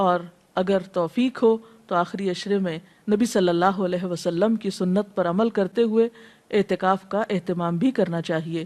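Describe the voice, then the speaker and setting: A woman's medium-pitched, an ordinary speaking voice, fairly even in intonation, dry and close with no echo. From Pakistan. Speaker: Islamic scholar and preacher. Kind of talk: religious lecture.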